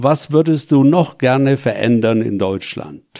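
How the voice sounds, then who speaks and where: Speaking at a very slow pace, a man has a fairly high pitch and a dark, mellow tone. His intonation stays fairly even. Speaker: local councillor and retired pastor. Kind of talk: interview. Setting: studio.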